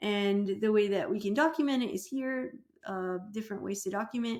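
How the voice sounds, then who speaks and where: A woman with ordinary pitch variation. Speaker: PA program professor. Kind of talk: lecture. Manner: fast, pressured speech.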